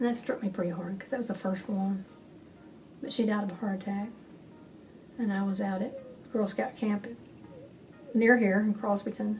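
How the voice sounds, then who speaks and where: Against noticeable background noise, a woman of medium pitch speaks at a moderate pace with fairly even intonation and long, frequent pauses. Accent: West Texas. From West Texas. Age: 70s. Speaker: author and community speaker. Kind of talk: oral history interview.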